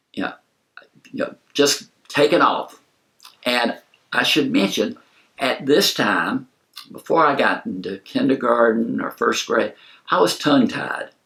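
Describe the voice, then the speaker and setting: His pauses are long and frequent. The man speaks fairly slowly. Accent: Southern US. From US South, South Carolina. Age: 70s. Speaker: movie reviewer. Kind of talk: storytelling. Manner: casual, conversational.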